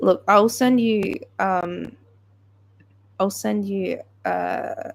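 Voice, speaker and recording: Very slow speech in a British accent. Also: woman. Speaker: livestreamer. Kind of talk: casual chat. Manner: halting.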